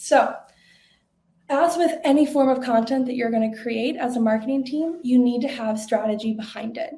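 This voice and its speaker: In a Minnesota accent, a woman speaks at a high pitch with fairly even intonation and a dark, mellow tone. Audible room echo surrounds her voice. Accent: Minnesotan. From Minnesota, US Upper Midwest. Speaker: webinar presenter, marketing manager. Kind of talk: webinar presentation. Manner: fast.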